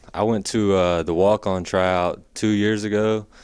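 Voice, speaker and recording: A man delivers his words at a fairly slow pace in a very deep, low pitch and a monotone, flat intonation, over a quiet background. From Franklin, Tennessee. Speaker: college basketball walk-on player. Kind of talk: sit-down interview.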